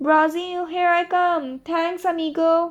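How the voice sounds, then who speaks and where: A woman does a put-on character voice at an extremely high pitch, fairly slow and with monotone, flat intonation and hissing. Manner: cheerful.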